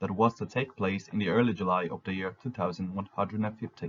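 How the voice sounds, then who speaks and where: A man with a non-native accent, talking at a very fast pace. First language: not English. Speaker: fan fiction narrator. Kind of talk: scripted narration.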